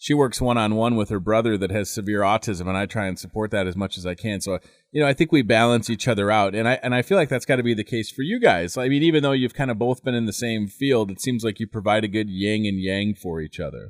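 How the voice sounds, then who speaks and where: On a very clean recording with a silent background, a man talks at a very fast pace and fairly low pitch with ordinary pitch variation. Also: hardly any pauses. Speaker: morning radio host. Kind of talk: radio interview host.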